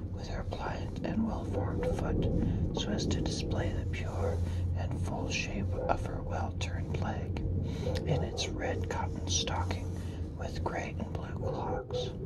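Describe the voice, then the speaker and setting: The speaker whispers. The pace is very slow. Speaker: ASMR reader. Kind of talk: classic novel reading. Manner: whispered; soft-spoken.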